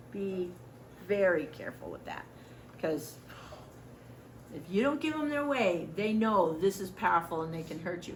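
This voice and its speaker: Over noticeable background noise and audible room echo, a woman speaks at a moderate pace with lively intonation, big swings in loudness, and long, frequent pauses. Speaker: volunteer trainer. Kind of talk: training lecture. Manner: animated.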